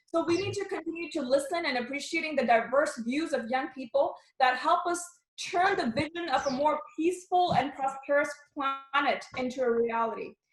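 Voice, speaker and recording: A woman sounds animated, her intonation lively. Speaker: member of parliament. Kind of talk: speech to youth program. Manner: fast.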